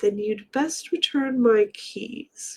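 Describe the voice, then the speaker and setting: A whispered, put-on character voice. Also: woman. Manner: whispering, menacing.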